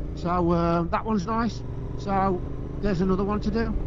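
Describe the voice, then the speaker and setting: The speech moves at a fairly quick pace with ordinary pitch variation. Background noise is noticeable. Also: man, dry sound with no echo. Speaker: motorcycle vlogger. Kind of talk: casual chat over intercom. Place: motorbike. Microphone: helmet.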